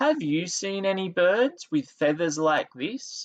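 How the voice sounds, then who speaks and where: In a put-on character voice, the man pitches himself high and delivers his lines fairly slowly. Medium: read story. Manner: earnest, curious.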